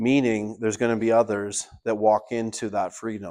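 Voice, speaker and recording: In a Canadian accent, a man talks at a moderate pace with medium pitch and a plain, everyday voice over a quiet background. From Canada. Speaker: party leader and political candidate. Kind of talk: town hall speech. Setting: town hall meeting with audience.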